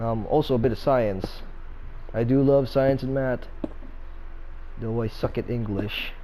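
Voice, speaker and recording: Speaking with a non-native accent, a man goes at a fairly slow pace with long, frequent pauses. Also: medium pitch for a man, fairly even intonation. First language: not English. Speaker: gaming YouTuber. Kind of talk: gameplay commentary. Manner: halting, stuttering; casual, filler-heavy.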